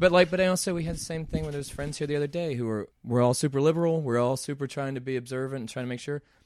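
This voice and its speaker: A fairly high-pitched man with an American accent races along at a very fast pace with hardly any pauses and ordinary pitch variation. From US Deep South (Mississippi roots). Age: 40s. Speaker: actor and painter. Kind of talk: casual chat. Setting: art studio.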